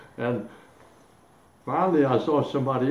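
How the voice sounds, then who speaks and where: A man talks at a moderate speed with a fairly high pitch while noticeable noise runs in the background. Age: 80s+. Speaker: Korean War veteran. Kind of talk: interview answer.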